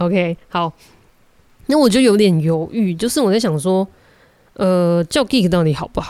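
A woman speaks at a moderate pace with long, frequent pauses, in a Taiwanese accent. Her pitch is medium, her tone dark and mellow, and her intonation lively. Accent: Taiwanese Mandarin. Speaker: podcast host. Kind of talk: solo monologue. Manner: halting, many filler sounds.

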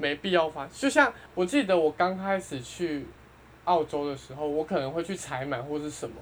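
A woman's plain, everyday voice, fairly low-pitched, with lively intonation at a moderate pace. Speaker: returning podcast guest. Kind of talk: casual chat.

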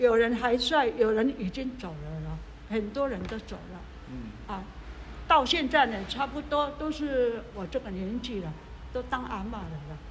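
At a fairly slow pace, a woman speaks with a fairly high pitch and ordinary pitch variation, and the room echo is audible. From Hualien-Taitung, Taiwan. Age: 70s. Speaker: retired community association founder. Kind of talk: life story interview. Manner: halting, many filler sounds.

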